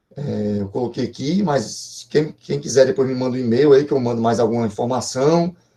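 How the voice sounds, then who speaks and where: The man has a dark, mellow tone at a medium pitch, with ordinary pitch variation. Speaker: professor, computer networks researcher. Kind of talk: online lecture. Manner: fast; hesitant, many fillers.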